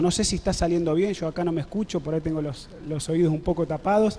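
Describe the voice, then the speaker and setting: Speaking with fairly even intonation, a man uses a high pitch. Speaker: pastor. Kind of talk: sermon. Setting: church service with congregation, web streamed.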